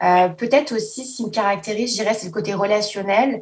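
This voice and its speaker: A woman's somewhat breathy voice at a moderate pace with ordinary pitch variation. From France, Paris. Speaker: assistant school principal. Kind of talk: interview.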